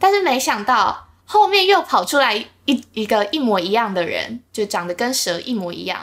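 Here a woman uses a plain, everyday voice, pitched fairly high. Her intonation is lively and her pace moderate. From Taiwan, Linkou (New Taipei). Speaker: podcast co-host. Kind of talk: casual chat.

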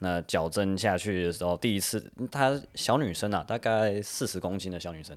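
A man speaks at a moderate pace with an American accent. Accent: American-accented Taiwanese Hokkien. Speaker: chiropractor. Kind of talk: interview.

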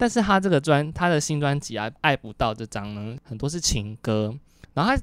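Pitched fairly high for a man, his voice swings very widely in pitch. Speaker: podcast co-host. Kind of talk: casual chat.

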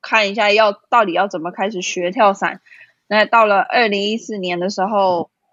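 A woman speaks in a Taiwanese accent at a medium pitch. Her intonation is fairly even. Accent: Taiwanese Mandarin. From Taiwan, Kaohsiung. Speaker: skydiving instructor. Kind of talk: interview.

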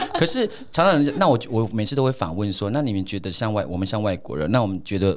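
A man talks at a very fast pace. His pitch is fairly low and his intonation lively. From Taiwan, Atayal community in Hsinchu mountains. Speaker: radio host. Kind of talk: casual chat.

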